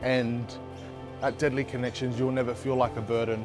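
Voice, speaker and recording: The speech moves at a moderate pace with music in the background. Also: man. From Redfern, Sydney, Australia. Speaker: community organisation co-founder and advocate. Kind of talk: interview answer.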